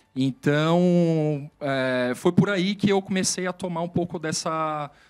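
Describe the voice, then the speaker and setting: A man's voice sits at a fairly high pitch and shows ordinary pitch variation. The background is silent, and the recording is very clean. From Brazil, moved around; family from southern Minas Gerais. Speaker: IT executive. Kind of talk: career interview. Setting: studio. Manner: hesitant, many filler sounds.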